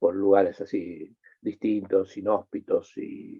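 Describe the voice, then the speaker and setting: A man's fairly low voice at a very slow pace. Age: 60s. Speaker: environmental scientist, NGO president. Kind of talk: interview conversation. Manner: halting, many repetitions.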